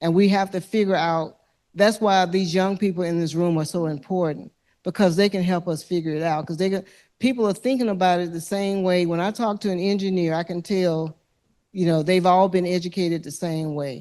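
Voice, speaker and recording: In an American accent, a woman speaks at a fairly quick pace with a fairly low pitch, a dark, mellow tone and fairly even intonation, against a quiet background. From US South, Alabama (Lowndes County). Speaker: environmental justice activist. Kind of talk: panel discussion answer. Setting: lecture hall with audience.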